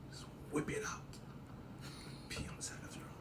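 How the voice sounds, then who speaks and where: In a room with audible echo, a man whispers with a Nigerian accent at a moderate pace. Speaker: comedian. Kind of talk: comedic monologue. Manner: animated.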